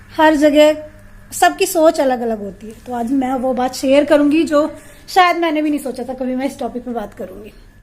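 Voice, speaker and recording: Over noticeable background noise, a woman with a high voice speaks at a moderate pace with ordinary pitch variation. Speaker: vlogger. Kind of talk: casual vlog talk. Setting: at home.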